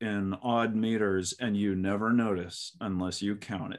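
This man's voice sits fairly low in pitch. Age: 30s. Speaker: podcast producer and co-host, guest. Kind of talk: casual chat. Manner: animated.

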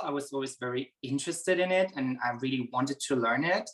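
A man's bright, sharp tone at a very fast pace with ordinary pitch variation. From Germany, Berlin. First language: German. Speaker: horse trainer. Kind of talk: interview.

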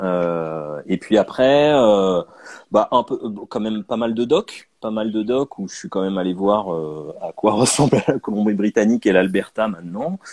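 Recorded dry and close with no echo, a man talks at a fairly low pitch with lively intonation. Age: 30s. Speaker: comic book author and illustrator. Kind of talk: interview. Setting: video call. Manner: halting.

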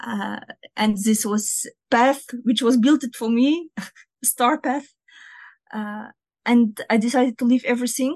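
In a Russian accent, a woman with a fairly high pitch talks at a fairly slow pace with fairly even intonation, the sound dry and close with no echo. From northern Russia near Finland. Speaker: Arabic and Quran teacher. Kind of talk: interview. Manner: halting.

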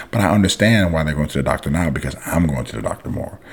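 A man's very deep, low voice at a very fast pace, with ordinary pitch variation and noticeable background noise. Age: 40s. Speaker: judo coach and podcast host. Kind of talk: casual monologue podcast.

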